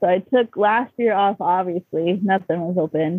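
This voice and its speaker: A woman speaks with an American accent in an unremarkable speaking voice. Her pace is fairly slow, and her pitch varies in an ordinary way. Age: 30s. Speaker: artist. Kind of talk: casual chat.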